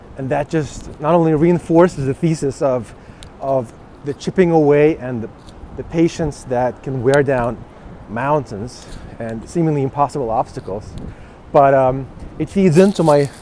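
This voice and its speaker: Noticeable background noise surrounds a man with a fairly high pitch. He speaks at a moderate pace, with long, frequent pauses. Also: ordinary pitch variation. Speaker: vlogger. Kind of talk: vlog monologue. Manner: halting.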